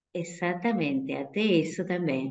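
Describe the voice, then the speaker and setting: This woman talks at a fairly slow pace. Her pitch sits in the medium range. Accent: Spanish. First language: Spanish (speaking Portuguese). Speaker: religious sister. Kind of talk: talk answering questions in an online vocational event.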